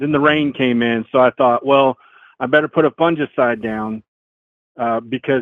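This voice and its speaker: Fairly even intonation marks a man talking in a Southern US accent. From Arkansas, lives in Indiana. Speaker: caller. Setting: phone call.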